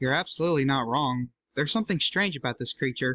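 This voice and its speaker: A man puts on a character voice at a medium pitch and talks at a very fast pace. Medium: read story.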